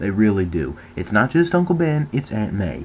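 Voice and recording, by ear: Speaking at a fairly slow pace, a man keeps a fairly low pitch with big pitch swings.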